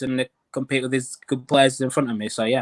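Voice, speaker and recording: A man speaks in a West Yorkshire accent at a very fast pace. His medium-pitched voice is monotone and flat, with a dry, close sound and no echo. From Africa, raised in West Yorkshire from childhood. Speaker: professional golfer. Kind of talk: interview. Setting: video call. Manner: halting.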